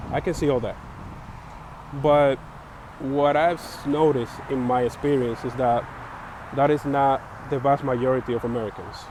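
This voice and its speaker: A man with a Spanish accent, fairly high in pitch, at a moderate pace with long, frequent pauses and monotone, flat intonation, over noticeable background noise. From Dominican Republic. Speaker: vlogger sharing opinions. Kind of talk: personal opinion monologue. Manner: halting, many fillers.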